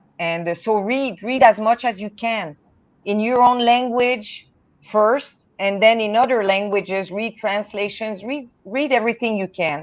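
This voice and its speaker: A woman speaks with a French Canadian accent at a fairly high pitch. Her pace is fairly slow, and her pitch varies in an ordinary way. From Canada, French-speaking. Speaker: poet and translator. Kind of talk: panel discussion.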